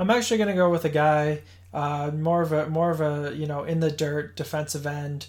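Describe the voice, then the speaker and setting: With an American accent, a man talks at a fairly quick pace in a fairly high pitch and fairly even intonation. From Boston, Massachusetts. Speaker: podcast co-host. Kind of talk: casual chat. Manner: halting, many fillers.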